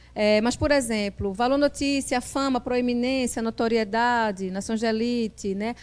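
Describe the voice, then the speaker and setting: A woman speaks at a moderate pace with a fairly high pitch and ordinary pitch variation, on a very clean recording with a silent background. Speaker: journalist and professor. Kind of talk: lecture. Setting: classroom with live audience. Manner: hesitant, with many fillers and repetitions.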